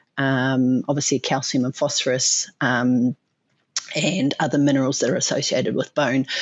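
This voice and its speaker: With a New Zealand accent, a woman speaks at a very deep, low pitch and a moderate pace. Her loudness stays very even and her intonation fairly even. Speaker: animal nutrition scientist. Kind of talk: interview. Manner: hesitant, many fillers.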